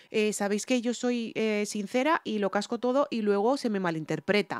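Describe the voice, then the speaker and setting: A woman's fairly high voice in a Spanish accent, dry and close with no echo. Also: ordinary pitch variation, moderate pace. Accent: Spanish (Spain). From Spain. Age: 40s. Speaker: singer and music reaction youtuber. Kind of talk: reaction video commentary. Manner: halting, many fillers and self-repairs.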